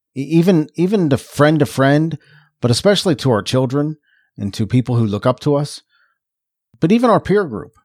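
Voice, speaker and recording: In a Philadelphia accent, a man speaks at a fairly quick pace with a fairly high pitch and lively intonation, yet with long, frequent pauses. The sound is dry and close, with no echo. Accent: sounds like from Philadelphia. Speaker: podcast co-host. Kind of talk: casual chat.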